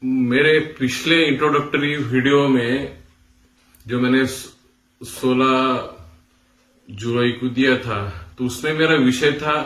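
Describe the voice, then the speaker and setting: In a room with audible echo, a man talks at a medium pitch with ordinary pitch variation. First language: Marathi (speaking Hindi). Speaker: music teacher. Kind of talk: tutorial. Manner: hesitant with fillers.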